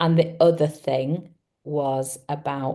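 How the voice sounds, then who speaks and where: A woman with an English accent speaks in a dark, mellow tone. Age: 60s. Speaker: psychotherapist. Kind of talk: testimonial interview.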